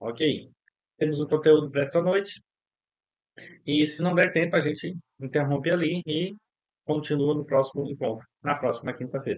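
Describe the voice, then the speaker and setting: Fairly high pitch from a man, with fairly even intonation at a moderate pace and long, frequent pauses. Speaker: psychologist teaching a course. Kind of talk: online lecture. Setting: online class.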